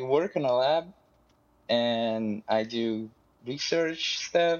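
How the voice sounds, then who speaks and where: A man speaks with a Portuguese accent. His pitch is medium, with ordinary variation. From Brazil. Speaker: lab researcher. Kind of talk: casual chat.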